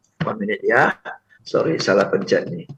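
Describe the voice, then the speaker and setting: A man keeps a moderate pace while music plays behind him. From Singapore. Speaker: corporate trainer and seminar speaker. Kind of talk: seminar talk. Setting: remote video presentation to live event.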